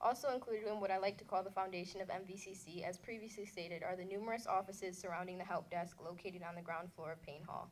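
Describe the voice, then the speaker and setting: Speaking very fast, a woman with an American accent sounds shaky. Her intonation is fairly even and her pitch medium. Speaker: community college student. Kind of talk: prepared speech to an audience. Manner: shaky voice.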